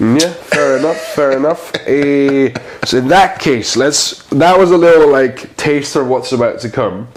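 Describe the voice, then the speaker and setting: Over noticeable background noise, a man with a fairly high pitch and ordinary pitch variation speaks in a playful tone at a fairly slow pace, with hardly any pauses. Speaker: comedian. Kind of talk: interview answer. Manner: playful, jokey.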